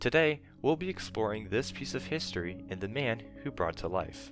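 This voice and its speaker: A man's fairly low voice at a fairly quick pace, lively in intonation, with music in the background. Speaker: YouTube documentary narrator. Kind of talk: documentary narration.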